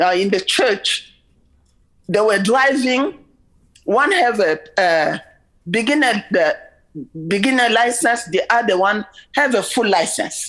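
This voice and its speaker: Her pitch swings very widely up and down. The woman speaks at a very slow pace. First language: French. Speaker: member of the public presenting to a legislative committee. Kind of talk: public testimony. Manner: halting, with many repetitions and fillers.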